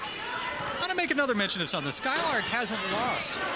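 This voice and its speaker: A man in a raised, projected voice talks at a very fast pace with very wide pitch swings, amid noticeable background noise and audible room echo. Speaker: wrestling commentator. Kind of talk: live commentary. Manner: animated.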